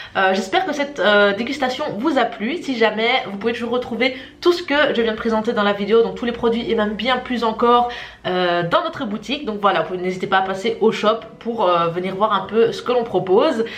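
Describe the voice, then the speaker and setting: Lively intonation and a fairly quick pace stand out, along with audible room echo and noticeable background noise. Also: woman, fairly high pitch for a woman. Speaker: shop employee presenting. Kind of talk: tasting video and FAQ presentation. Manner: hesitant, many filler sounds.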